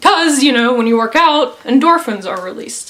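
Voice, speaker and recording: A woman talks with ordinary pitch variation at a moderate pace while noticeable background noise is heard. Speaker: YouTuber. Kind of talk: personal testimony. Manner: casual, hesitant.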